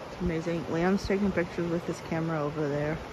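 Noticeable background noise sits behind a woman's voice, recorded with a dry sound and no echo. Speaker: travel vlogger. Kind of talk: casual vlog chat. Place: waterside. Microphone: phone near.

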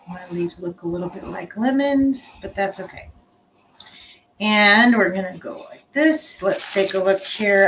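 Lively intonation and big swings in loudness mark this woman's voice. She speaks at a fairly slow pace with light background noise. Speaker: art instructor. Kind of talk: tutorial. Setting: home live stream. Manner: casual, halting with fillers. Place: home room. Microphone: webcam.

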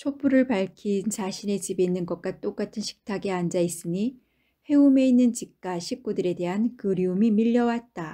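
The woman's voice has a medium pitch and a dark, mellow tone. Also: ordinary pitch variation, quiet background. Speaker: audiobook narrator. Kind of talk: audiobook narration, bedtime story reading. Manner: slow, calm, soothing; gentle, even storytelling pace.

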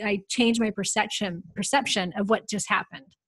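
A woman at a very fast pace, fairly high in pitch, against a quiet background. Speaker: podcast host and hormone specialist. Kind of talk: interview.

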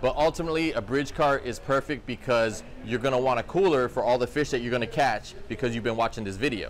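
Light background noise sits under a man's voice. He talks at a fairly quick pace with ordinary pitch variation. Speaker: fishing channel host. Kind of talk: tutorial. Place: shop. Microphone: phone near.

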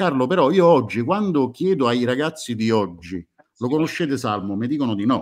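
A man talks at a moderate pace against a quiet background. His medium-pitched voice makes very wide pitch swings. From Italy. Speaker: music fan group moderator. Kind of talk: casual chat.

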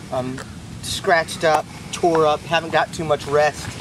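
Noticeable background noise sits behind a man speaking at a fairly slow pace. The sound is dry with no echo. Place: forest. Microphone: phone near.

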